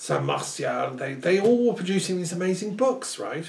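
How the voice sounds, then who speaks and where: Speech moves at a moderate pace with ordinary pitch variation. Audible room echo can be heard. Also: man. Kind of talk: one side of a phone conversation. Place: home room.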